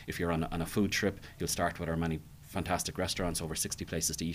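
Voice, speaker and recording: Very fast speech in an Irish accent. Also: man. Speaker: hotel manager. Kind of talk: casual interview. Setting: hotel.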